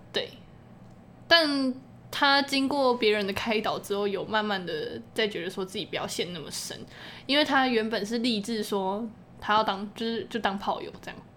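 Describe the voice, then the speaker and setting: Her fairly high, bright, sharp voice has lively intonation and big swings in loudness as the woman speaks at a moderate pace. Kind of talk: casual chat. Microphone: too close to the mic.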